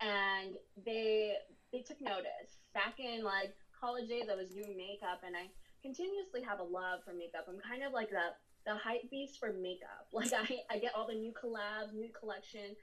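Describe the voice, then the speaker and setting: Here is a woman with an unremarkable speaking voice. Her pitch is fairly high, with ordinary pitch variation. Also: moderate pace. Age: 30s. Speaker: plus-size model and makeup artist. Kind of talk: casual chat.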